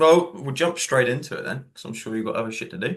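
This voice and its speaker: A man talks at a very fast pace in a Cornish accent. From Cornwall, England. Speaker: coach. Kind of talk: casual chat. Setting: video call.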